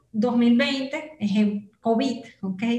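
A woman's fairly high voice with ordinary pitch variation, noticeable background noise and audible room echo. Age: 30s. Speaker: digital marketing entrepreneur. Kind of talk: interview conversation.

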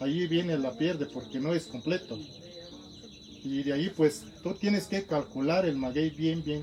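The speech comes at a fairly slow pace with ordinary pitch variation. It is delivered in an Oaxacan accent. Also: man, fairly high pitch for a man. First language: Zapotec (speaking Spanish). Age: 30s. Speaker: master mezcal maker. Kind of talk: interview. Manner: halting.

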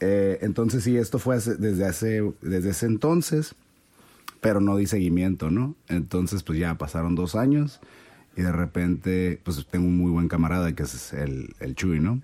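A man's very deep, low voice with a Mexican accent, lively intonation and a dark, mellow tone. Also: moderate pace. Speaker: podcast guest. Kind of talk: casual chat.

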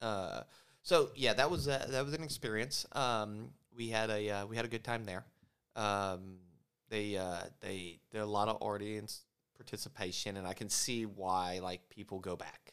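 This man has a normal speaking voice, a fairly low pitch and ordinary pitch variation, and he speaks at a moderate pace. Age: 40s. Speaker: podcast co-host. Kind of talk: casual chat.

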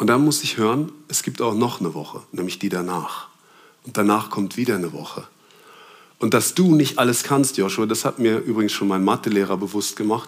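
Moderate pace with long, frequent pauses from a man at fairly low pitch, his pitch variation ordinary. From Germany. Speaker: preacher. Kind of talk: sermon.

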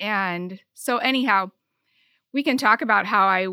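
The recording is very clean with a silent background. A woman with an American accent speaks in a bright, sharp tone at medium pitch and a moderate pace. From Michigan, rural farm town. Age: 50s. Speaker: podcast guest. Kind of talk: casual chat.

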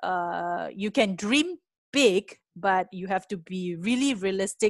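A woman with a Malaysian accent, dry and close with no echo, over a quiet background. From Malaysia, Penang. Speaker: venture capitalist. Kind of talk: interview. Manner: hesitant with many fillers.

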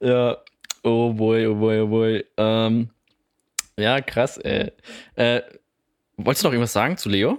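A man with a medium pitch speaks at a very slow pace, his intonation fairly even and broken by long, frequent pauses. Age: 20s. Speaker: podcast co-host. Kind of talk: casual chat.

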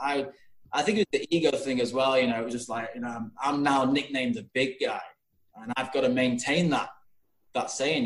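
Speaking fairly quickly with a Yorkshire accent, a man shows ordinary pitch variation. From Yorkshire, England. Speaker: guest. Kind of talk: casual interview chat. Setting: video call.

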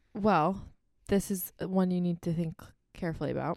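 A soft-spoken woman's medium-pitched voice with a dark, mellow tone and ordinary pitch variation, at a moderate pace, dry and close with no echo, on a very clean recording with a silent background. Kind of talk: casual chat. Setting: studio.

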